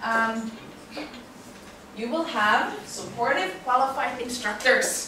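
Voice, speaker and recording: A woman speaks at a high pitch and a very slow pace, with long, frequent pauses. Noticeable background noise and audible room echo fill the recording. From Finland. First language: Finnish. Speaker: university English teacher. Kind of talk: lecture. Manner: frequent filler um.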